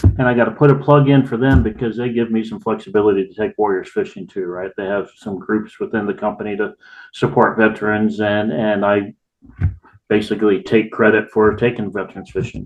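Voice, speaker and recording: At a fairly quick pace, a man speaks in an ordinary speaking voice with a fairly low pitch and fairly even intonation. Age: 60s. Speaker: volunteer fishing guide and veteran. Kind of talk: casual podcast interview.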